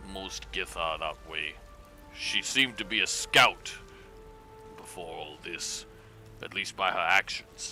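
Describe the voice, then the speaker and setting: A man uses a put-on character voice at a fairly slow pace, with long, frequent pauses. Clear music plays in the background. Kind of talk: tabletop-style in-character roleplay. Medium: game stream. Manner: formal, stilted, clipped speech.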